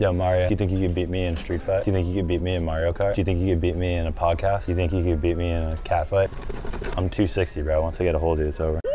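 The delivery is very fast, with monotone, flat intonation and very even loudness. Faint music sits in the background. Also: man, very deep, low pitch for a man. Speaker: YouTuber. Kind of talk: comedic vlog banter. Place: shop.

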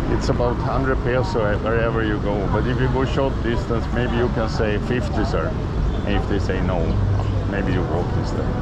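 A man is talking at a moderate pace. Loud background noise runs behind him. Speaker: travel vlogger. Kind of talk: casual vlog commentary. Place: street. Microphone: phone near.

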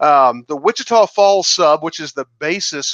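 A man with an American accent and ordinary pitch variation, dry sound with no echo, quiet background. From Missouri. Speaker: YouTuber and model railroader; presenter. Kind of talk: virtual layout tour presentation. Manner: halting, frequent fillers and repeats. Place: home room.

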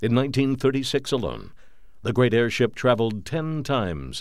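The recording is very clean with a silent background. A man speaks at a moderate pace and medium pitch with vocal fry. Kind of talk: documentary narration.

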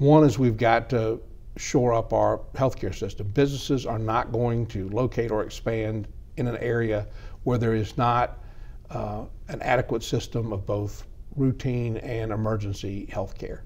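A man with a Georgia accent speaks at a moderate pace with fairly even intonation. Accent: Southern American (Georgia). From DeKalb County, Georgia. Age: 50s. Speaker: politician; politician interviewee. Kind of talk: interview; interview answer. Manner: halting, many fillers and repetitions. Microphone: lapel.

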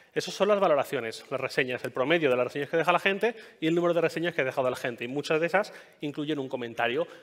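A man talking at a very fast pace, fairly high in pitch, with ordinary pitch variation over a quiet background. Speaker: podcaster and tech journalist giving a talk; conference speaker. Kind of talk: conference talk. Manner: hesitant, many fillers. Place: stage.

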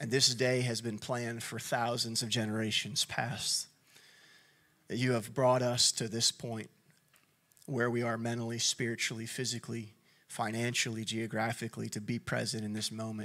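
A man speaks at a moderate pace in a bright, sharp tone with monotone, flat intonation. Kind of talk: opening prayer. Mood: calm, reverent. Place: stage. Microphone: handheld.

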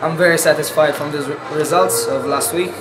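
Noticeable background noise behind a man at a moderate pace. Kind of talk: interview answer. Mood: pleased, relaxed.

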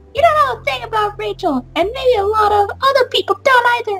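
Over music in the background, a woman speaks at an extremely high pitch with lively intonation. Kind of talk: casual let's-play commentary. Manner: casual, animated, reacting and theorizing about the game.

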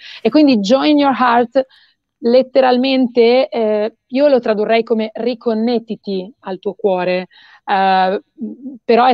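A woman with ordinary pitch variation, a dry sound with no echo and a quiet background. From northern Italy, Mantua; northern Italy. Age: young. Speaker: singer-songwriter; guest. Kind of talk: interview. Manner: halting, many fillers. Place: home room. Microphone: video call.

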